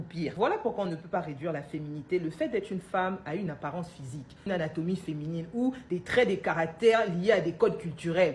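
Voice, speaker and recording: Very fast speech from a woman, with ordinary pitch variation and big swings in loudness. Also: hardly any pauses. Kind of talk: religious teaching monologue.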